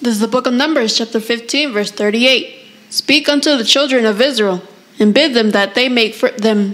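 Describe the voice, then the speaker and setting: Moderate tempo and fairly high pitch from a female speaker, ordinary pitch movement, noticeable noise in the background. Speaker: class member. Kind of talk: reading aloud. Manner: halting.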